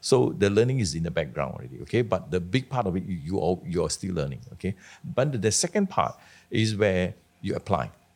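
A man's fairly low voice with vocal fry, very wide pitch swings and a fairly quick pace, on a very clean recording with a silent background. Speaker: career author with accounting background. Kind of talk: casual interview. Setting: studio.

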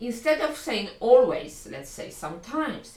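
Over noticeable background noise, a woman with a Polish accent speaks at a moderate pace in a high voice. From Poland. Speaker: English language coach. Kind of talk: solo podcast lesson.

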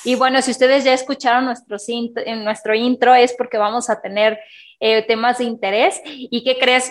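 A woman talks with fairly even intonation at a high pitch. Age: 30s. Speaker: podcast co-host. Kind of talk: casual chat.

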